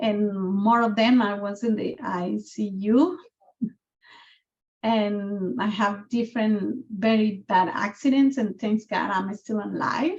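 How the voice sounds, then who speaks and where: With a Guatemalan accent, a woman speaks at a very slow pace and a medium pitch. Her voice is somewhat breathy, with ordinary pitch variation. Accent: Guatemalan Spanish accent, noticeable. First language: Spanish. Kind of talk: video call community conversation. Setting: video call.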